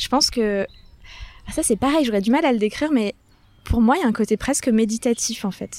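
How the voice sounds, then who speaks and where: The pace of this woman's speech is moderate. Her voice moves up and down in pitch in an ordinary way. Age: 30s. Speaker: florist. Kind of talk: casual chat. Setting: outdoors. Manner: animated.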